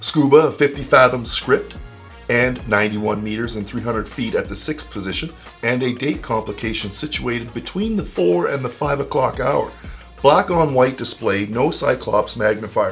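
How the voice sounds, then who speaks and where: Music in the background behind a man with an upbeat tone and a moderate pace. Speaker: watch reviewer. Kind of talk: product review narration.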